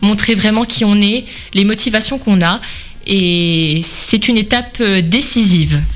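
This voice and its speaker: A woman's medium-pitched voice at a fairly slow pace, with very even loudness, ordinary pitch variation and music in the background. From Vosges, eastern France. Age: 20s. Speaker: beauty pageant contestant, nurse. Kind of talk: radio interview. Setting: radio studio.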